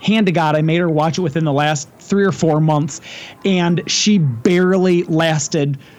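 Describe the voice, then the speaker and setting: An ordinary speaking voice from a man, fairly high in pitch, with fairly even intonation at a moderate pace. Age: 40s. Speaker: podcast host. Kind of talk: casual chat.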